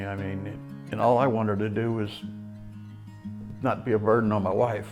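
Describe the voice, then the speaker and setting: A man's fairly low pitch and fairly even intonation over music in the background. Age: 70s. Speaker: rehabilitation patient. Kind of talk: testimony.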